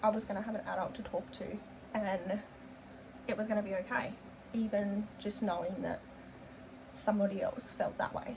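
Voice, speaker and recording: Long, frequent pauses break up speech with an Australian accent over noticeable background noise. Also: woman, medium pitch for a woman, ordinary pitch variation, moderate pace. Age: 20s. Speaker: beauty vlogger. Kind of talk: casual chat. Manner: hesitant, many fillers.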